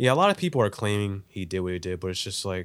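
A man with a fairly low pitch and ordinary pitch variation is heard on a very clean recording against a silent background. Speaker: filmmaker. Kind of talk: casual chat. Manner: casual, talkative.

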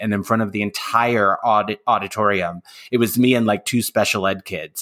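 A normal speaking voice from a man with an American accent, fairly low in pitch, at a moderate pace with fairly even intonation. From US, San Francisco Bay Area. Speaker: podcast host. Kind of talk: casual interview. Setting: remote video call.

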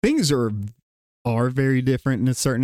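A man's monotone, flat delivery at a moderate pace with a Southern US accent, in a dry, close sound with no echo. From Gadsden, Alabama, US South. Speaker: drumline instructor. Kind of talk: casual chat.

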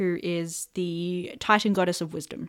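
Here a woman speaks in an Australian accent. The recording is very clean, with a silent background. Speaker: world-building podcast host. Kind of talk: casual chat; reading notes aloud.

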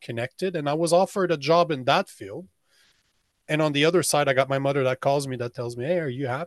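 Recorded dry and close with no echo against a quiet background, a man with an unremarkable speaking voice talks at a fairly high pitch with ordinary pitch variation. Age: 40s. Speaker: men's coach and podcast host. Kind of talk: casual interview.

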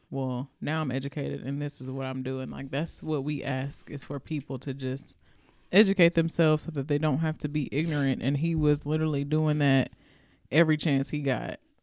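Speaking at a fairly quick pace with a Southern US accent, a woman uses a very deep, low pitch and fairly even intonation in a very clean recording with a silent background. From US South. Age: 40s. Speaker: podcast co-host. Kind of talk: casual chat.

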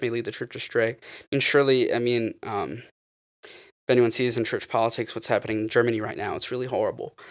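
A man with a Southern US accent speaks at a fairly quick pace, his volume rising and falling sharply. The recording is very clean, with a silent background. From US South, eastern North Carolina. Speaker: guest. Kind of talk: casual chat.

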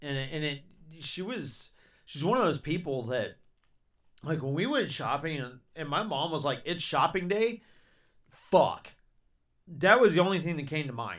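A man with a Southern US accent speaks fairly slowly at a fairly high pitch, animated and with lively intonation, taking long, frequent pauses in a very clean recording with a silent background. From Georgia, US South. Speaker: podcast host. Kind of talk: casual chat. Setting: studio.

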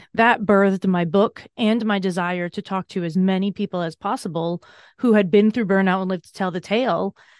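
A woman's ordinary speaking voice at a medium pitch, with fairly even intonation, a fairly quick pace and big swings in loudness, in a dry, close sound with no echo and a quiet background. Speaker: burnout coach and author. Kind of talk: interview conversation.

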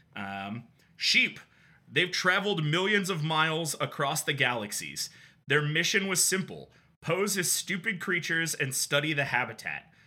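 A man with a fairly high pitch, a bright, sharp tone and vocal fry speaks at a moderate pace with lively intonation. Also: very clean recording, silent background. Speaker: podcast host. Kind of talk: casual banter, video game podcast.

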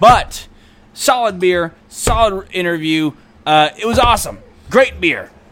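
With noticeable background noise behind him, a man with a high pitch speaks at a fairly slow pace, his intonation lively and his loudness swinging widely. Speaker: podcast host. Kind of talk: casual interview chat. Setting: in-person interview.

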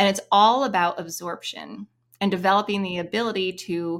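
At a moderate pace, a woman speaks at medium pitch in an unremarkable speaking voice with ordinary pitch variation. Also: very clean recording, silent background. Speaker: music teacher. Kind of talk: interview discussion.

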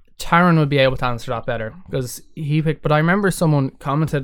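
A man with an Irish accent talks at a very fast pace, with ordinary pitch variation. The recording is very clean, with a silent background. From Ireland. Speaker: musician. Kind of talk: casual chat.

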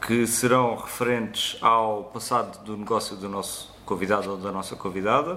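A man with a fairly low pitch and ordinary pitch variation talks at a moderate pace in a bright, sharp tone, with hardly any pauses, big swings in loudness and audible room echo. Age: 30s. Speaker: podcast host, graphic and web designer. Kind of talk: casual show introduction.

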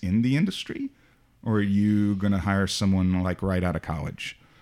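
On a very clean recording with a silent background, a man with a fairly low pitch speaks at a moderate pace in a normal speaking voice. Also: very even loudness. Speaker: podcast host. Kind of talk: casual interview.

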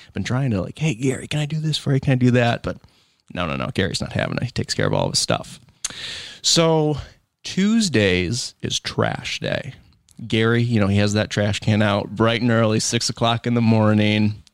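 Speaking in a plain, everyday voice with an American accent, a man keeps a medium pitch, ordinary pitch variation and a moderate pace on a very clean recording with a silent background. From Michigan, US. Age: 20s. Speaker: lawn care business owner. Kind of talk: casual interview. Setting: studio.

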